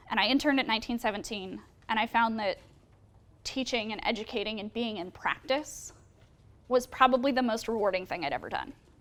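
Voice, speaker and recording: Animated in tone, a woman talks with lively intonation in an American accent. Noticeable background noise is present. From US West Coast (San Francisco). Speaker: public health worker, alumni speaker. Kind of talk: talk to students.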